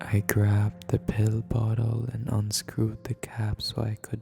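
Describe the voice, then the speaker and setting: Someone is whispering. Music plays in the background. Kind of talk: horror story narration. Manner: whispered.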